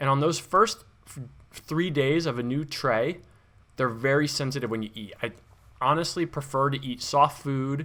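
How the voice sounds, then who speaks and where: The man's tone is bright and sharp, his pitch fairly high with ordinary variation. He speaks at a moderate pace. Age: 30s. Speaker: vlogger. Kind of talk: personal vlog. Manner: casual, conversational.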